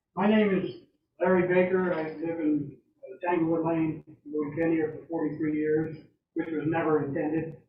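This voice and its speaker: A man with a fairly high voice talks at a moderate pace in a flat monotone, with audible room echo around him. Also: big swings in loudness. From US, southwestern Maine. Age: 70s. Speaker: resident speaking at public comment. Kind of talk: public comment at town meeting. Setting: town board meeting.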